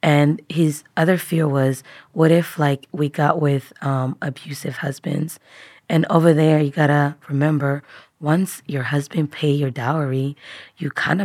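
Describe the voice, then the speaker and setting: At a fairly slow pace, a woman with a very deep, low pitch and fairly even intonation is captured in a dry, close sound with no echo and a very clean recording with a silent background. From Tanzania. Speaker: refugee and public health graduate. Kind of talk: personal testimony interview.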